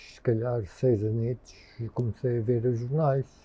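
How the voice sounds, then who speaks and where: A man talks at a medium pitch with ordinary variation, sounding somewhat breathy. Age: 50s. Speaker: interviewee. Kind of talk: interview. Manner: halting.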